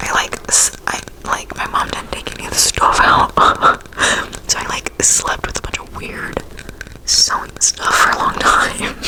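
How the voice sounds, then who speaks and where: Whispering at a moderate pace, with long, frequent pauses, big swings in loudness and noticeable background noise. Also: woman. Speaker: ASMR creator. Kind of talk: personal ghost story told to camera. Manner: casual, chatty.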